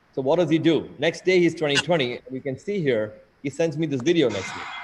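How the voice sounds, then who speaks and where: Fairly high-pitched and animated, a man speaks at a fairly quick pace with ordinary pitch variation over noticeable background noise. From India (Mumbai). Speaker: eye surgeon. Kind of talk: lecture. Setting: video call. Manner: fast.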